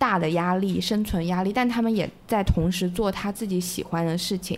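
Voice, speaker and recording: Speaking at a fairly quick pace, a woman uses a normal speaking voice at medium pitch. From Hunan, mainland China. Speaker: guest, former Hong Kong resident. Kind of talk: casual chat. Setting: home, dark room at night.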